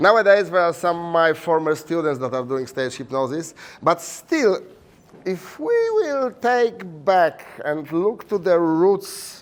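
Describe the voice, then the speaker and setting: A man speaks with a Polish accent. His voice is high, with lively intonation. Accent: Polish accent, noticeably foreign. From Poland. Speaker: hypnotherapy teacher and stage hypnotist. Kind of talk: conference presentation. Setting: conference room with audience. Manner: hesitant, many fillers.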